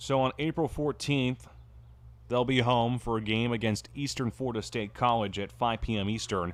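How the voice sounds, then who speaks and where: A man is speaking at a moderate pace. His pitch varies in an ordinary way. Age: 20s. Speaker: play-by-play commentator. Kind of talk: live sports commentary. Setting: ballpark with crowd.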